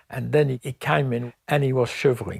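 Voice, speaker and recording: A man talks at a moderate pace with medium pitch and vocal fry. The recording is very clean, with a silent background. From France. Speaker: Holocaust survivor. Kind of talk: testimony.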